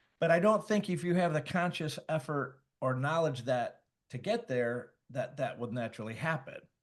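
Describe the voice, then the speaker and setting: In an American accent, a man with a fairly high pitch talks at a moderate pace with lively intonation over a quiet background. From Michigan. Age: 60s. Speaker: podcast co-host. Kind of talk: casual interview chat. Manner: halting.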